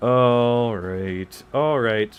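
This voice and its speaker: A man speaks with music playing in the background. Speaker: gaming streamer. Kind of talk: casual let's-play commentary. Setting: live stream. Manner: loud, projecting.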